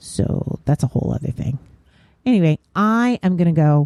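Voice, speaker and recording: Speech unfolds at a moderate pace. Its tone is dark and mellow. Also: woman. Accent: American. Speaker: podcaster. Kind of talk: casual solo podcast talk. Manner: casual, with many fillers.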